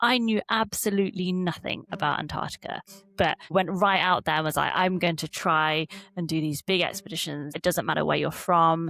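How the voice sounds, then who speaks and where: Speaking at a moderate pace with an English Midlands accent, this woman has a fairly low pitch and ordinary pitch variation. Her tone is bright and sharp, and the recording is very clean with a silent background. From Derby, England. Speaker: polar explorer. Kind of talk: interview answer.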